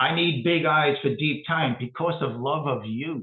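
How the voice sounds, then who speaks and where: A man speaks with ordinary pitch variation. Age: 60s. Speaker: poet. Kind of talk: poetry reading with commentary. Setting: online talk. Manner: halting.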